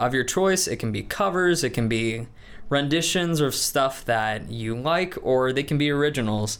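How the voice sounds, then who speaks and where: A man with a normal speaking voice in an American accent, medium in pitch, at a moderate pace with lively intonation. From US Midwest, Des Moines, Iowa. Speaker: student body president, music student. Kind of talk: interview.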